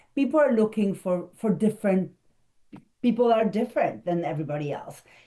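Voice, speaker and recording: A woman's fairly high voice with a dark, mellow tone, very wide pitch swings, a fairly quick pace and a non-native accent. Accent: foreign. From abroad, non-English-speaking country. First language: not English. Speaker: speaker coach and marketing consultant. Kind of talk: interview.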